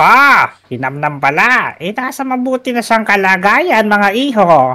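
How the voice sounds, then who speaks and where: A put-on character voice, fairly high in pitch, moves at a fairly slow pace with very wide pitch swings. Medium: machinima. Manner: menacing, mocking.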